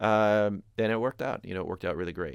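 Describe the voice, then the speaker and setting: A very clean, completely silent recording with typical pitch movement. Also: man. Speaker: rock band singer and songwriter. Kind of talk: casual explanation of a song. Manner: hesitant, many fillers.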